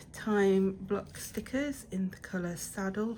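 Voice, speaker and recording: This is a woman speaking with a British accent. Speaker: planner and journaling unboxing vlogger. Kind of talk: casual unboxing video. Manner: hesitant, many fillers.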